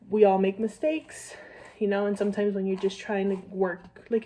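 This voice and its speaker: A woman with a dark, mellow tone and medium pitch speaks at a very fast pace. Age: 20s. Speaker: vlogger, young mother. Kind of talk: casual get-ready-with-me vlog chat. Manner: chatty, filler-heavy.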